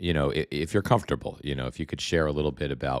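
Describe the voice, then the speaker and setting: On a very clean recording with a silent background and a dry, close sound without echo, a man speaks at a very fast pace in a very deep, low pitch, with vocal fry and ordinary pitch variation. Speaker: political commentary livestreamer. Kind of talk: live stream commentary reading viewer comments. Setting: livestream from home. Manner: halting, many repetitions; soft-spoken, talking quietly.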